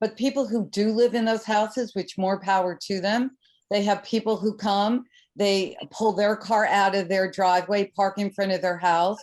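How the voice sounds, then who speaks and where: A woman speaks at a moderate pace with a medium pitch and fairly even intonation. Her loudness stays very even against a quiet background. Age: 60s. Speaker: resident speaking at public comment. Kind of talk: public comment at town meeting. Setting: council meeting.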